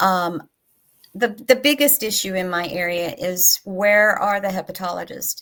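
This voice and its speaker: In a very clean recording with a silent background, a woman of medium pitch speaks with a Tennessee accent. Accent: Southern US (Tennessee). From US South, East Tennessee. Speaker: patient advocacy nonprofit director. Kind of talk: panel discussion.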